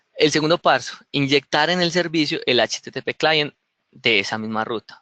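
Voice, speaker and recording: This man's tone is bright and sharp, and his intonation is lively. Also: dry, close sound with no echo. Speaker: software developer giving a tech talk. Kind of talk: tutorial. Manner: fast.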